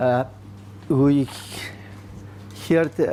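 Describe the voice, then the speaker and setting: Fairly slow speech from a man with a Greek accent, dark and mellow in tone, with lively intonation. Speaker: soil scientist. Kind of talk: conference presentation. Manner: halting, many fillers.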